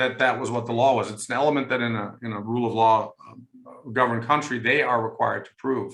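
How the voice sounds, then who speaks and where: With a slight German accent and a bright, sharp tone, a man talks at a fairly quick pace amid audible room echo. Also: big swings in loudness. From Germany. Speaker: law professor. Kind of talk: panel discussion. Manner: hesitant, many fillers.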